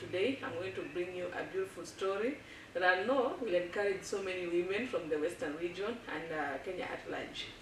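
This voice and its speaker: A woman at medium pitch and a fairly quick pace, with ordinary pitch variation and noticeable background noise. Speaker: YouTube channel host. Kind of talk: casual talk to camera.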